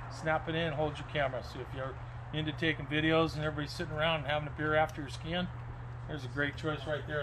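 Noticeable background noise is present. Over it, a man talks with monotone, flat intonation. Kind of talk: product walkthrough. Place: shop. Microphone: phone near.

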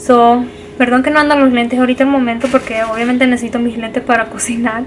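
Light background noise sits under a woman's high-pitched voice. She talks at a fairly quick pace with monotone, flat intonation. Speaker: vlogger. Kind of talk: casual cooking vlog, code-switching Spanish and English. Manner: halting, searching for words in Spanish. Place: home room. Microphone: phone near.

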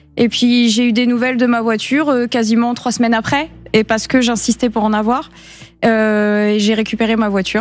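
Music plays in the background while a woman talks at a moderate pace. Her intonation stays monotone and flat. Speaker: viewer seeking help with faulty car. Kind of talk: television consumer-help segment. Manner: halting. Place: studio. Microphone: studio mic.

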